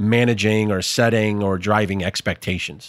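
A man with an unremarkable speaking voice talks at a moderate pace, fairly low in pitch and with ordinary pitch variation. The recording is very clean and the background silent. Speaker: podcast co-host. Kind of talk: casual interview.

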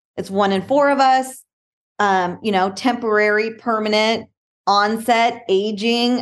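Her voice is a plain, everyday voice, set at a fairly high pitch. The woman talks at a fairly slow pace with fairly even intonation. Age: 40s. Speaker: motivational speaker and wheelchair athlete. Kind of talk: interview.

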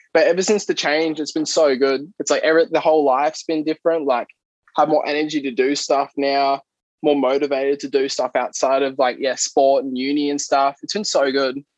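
Speaking with an Australian accent, the voice moves at a fairly quick pace with fairly even intonation. The sound is dry and close, with no echo. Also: man, fairly high pitch for a man. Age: 20s. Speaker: athlete. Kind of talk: casual chat.

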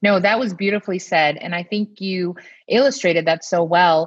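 A woman talks in a normal speaking voice. Her pitch moves in an ordinary way. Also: dry, close sound with no echo. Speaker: pediatrician podcast host. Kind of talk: casual chat.

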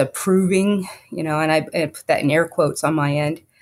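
The speaker keeps a moderate pace and fairly even intonation in a very clean recording with a silent background. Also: woman. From Texas, Fort Worth area. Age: 40s. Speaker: lawyer. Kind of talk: interview. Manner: halting, many fillers.

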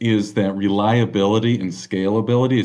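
Against a quiet background, a man with an American accent talks fairly slowly at a fairly low pitch. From Southern California, Los Angeles. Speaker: tech company executive. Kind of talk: podcast interview.

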